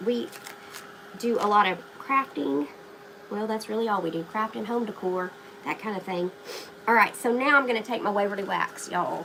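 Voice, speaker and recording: Lively intonation colors this woman's moderate-paced speech, broken by long, frequent pauses. Noticeable background noise runs underneath. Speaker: craft YouTuber. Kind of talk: live-stream craft tutorial. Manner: casual, chatty.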